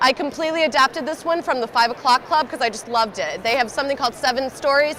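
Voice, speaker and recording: A woman speaks loudly and fairly quickly at a high pitch, with noticeable background noise behind her. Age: young. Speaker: job search expert. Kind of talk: presentation.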